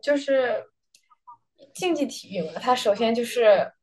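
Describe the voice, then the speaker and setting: A woman speaks in a high pitch. Her pace is very slow. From Beijing, China. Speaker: college tennis player. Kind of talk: interview. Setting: hotel room, remote.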